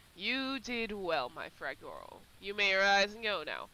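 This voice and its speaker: Someone puts on a raspy character voice, fairly high in pitch, and speaks at a fairly slow pace. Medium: read story. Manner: menacing.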